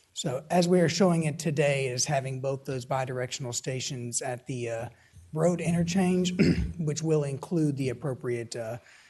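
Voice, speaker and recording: A man's somewhat breathy, fairly high voice with ordinary pitch variation, at a moderate pace against a quiet background. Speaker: transit planner presenting to council. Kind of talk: public meeting Q&A. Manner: halting.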